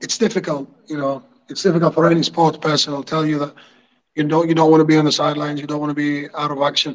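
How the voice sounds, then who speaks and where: The speech moves at a very fast pace. Its intonation is monotone and flat. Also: man, fairly high pitch for a man. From Greece. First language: Greek. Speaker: football coach and former goalkeeper. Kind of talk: casual interview. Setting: video call.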